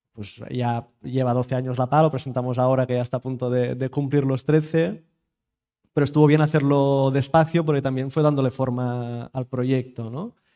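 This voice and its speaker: Speaking at a moderate pace, a man with a dark, mellow tone keeps his intonation fairly even, and the background stays quiet. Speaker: panel moderator. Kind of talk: moderated panel discussion. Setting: stage with audience, streamed. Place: hall.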